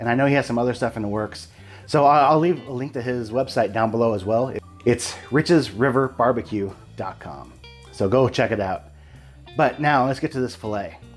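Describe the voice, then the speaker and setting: A man talks at a moderate pace and with ordinary pitch variation while faint music plays behind him. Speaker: barbecue channel host. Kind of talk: casual vlog chat. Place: home room. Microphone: lapel.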